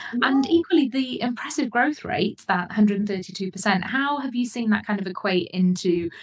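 A woman talks with a British accent. Her intonation is lively. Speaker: podcast host. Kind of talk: interview, professional chat.

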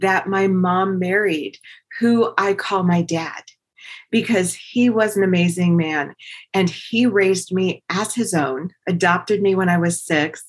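A woman speaks in an ordinary speaking voice at medium pitch with ordinary pitch variation. Her pace is fairly slow and her loudness very even. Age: 50s. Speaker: podcast host. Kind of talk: solo motivational talk.

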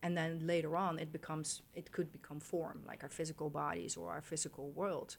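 Vocal fry and monotone, flat intonation at a fairly quick pace. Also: woman, very deep, low pitch for a woman. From Netherlands. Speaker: sacred geometry artist. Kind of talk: interview. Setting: studio.

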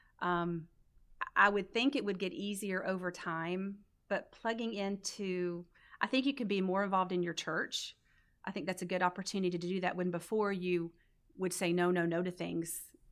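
With an American accent, a woman has an unremarkable speaking voice, a medium pitch, fairly even intonation and a moderate pace. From North Carolina (raised from about age 12, earlier West Virginia). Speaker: church member, mother. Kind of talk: interview testimony.

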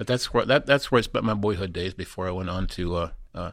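A man with a very deep, low voice talks at a very fast pace with ordinary pitch variation, on a very clean recording with a silent background. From Indiana. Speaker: teacher and former coach. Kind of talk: interview. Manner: halting, many fillers and repeats.

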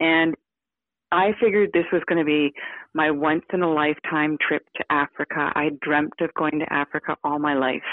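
In a western Canadian accent, a woman with a very deep, low pitch speaks at a moderate pace with fairly even intonation. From Victoria, British Columbia, Canada. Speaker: hunter, TV co-host. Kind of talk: casual interview chat.

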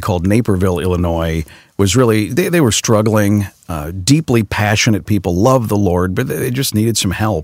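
In a very clean recording with a silent background, a man with an American accent and an ordinary speaking voice talks at a moderate pace, his fairly low pitch showing ordinary variation. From Chicago area, US Midwest. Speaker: radio news anchor and pastor. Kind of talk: casual interview. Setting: studio.

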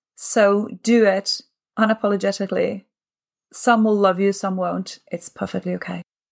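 In a dry, close sound with no echo, a woman speaks at a moderate pace with a medium pitch and monotone, flat intonation. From Naples, Italy. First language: Italian. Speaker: opera singer and life coach. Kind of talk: casual interview.

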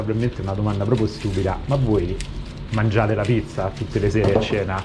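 Against noticeable background noise, a man with fairly low pitch and ordinary pitch variation speaks at a very fast pace. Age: 40s. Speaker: podcast host. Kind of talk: casual interview. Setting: pizzeria kitchen. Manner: animated.

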